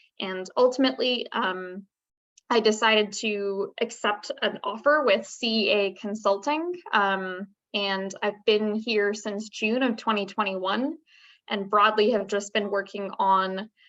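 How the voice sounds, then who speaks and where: In an unremarkable speaking voice at medium pitch, a woman talks at a fairly slow pace with fairly even intonation against a quiet background. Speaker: research associate, alumna panelist. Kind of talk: career panel talk.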